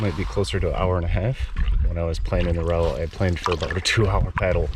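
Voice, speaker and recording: A man with an American accent at a very fast pace, very even loudness, audible room echo and noticeable background noise. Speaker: solo canoe camping vlogger. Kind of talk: casual vlog narration. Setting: outdoors, camping in tent and canoe on lake.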